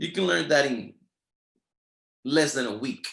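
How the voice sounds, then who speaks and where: Speaking with a Spanish accent, a man has an animated tone. His pace is fairly slow. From Latin America. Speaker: network marketing leader. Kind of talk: motivational training talk.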